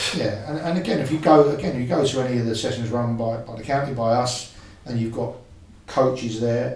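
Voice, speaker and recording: Amid noticeable background noise and audible room echo, a man speaks fairly quickly at medium pitch. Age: 60s. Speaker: football coach. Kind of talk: podcast interview.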